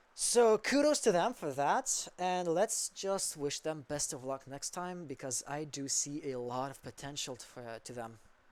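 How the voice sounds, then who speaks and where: A fairly slow pace with hardly any pauses. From Quebec. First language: French. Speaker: esports caster. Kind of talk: live commentary.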